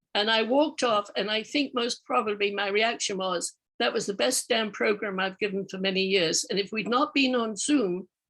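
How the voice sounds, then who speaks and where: At a moderate pace, a woman with an unremarkable speaking voice talks in a fairly high pitch with ordinary pitch variation. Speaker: professional speaker. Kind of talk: casual comment in workshop.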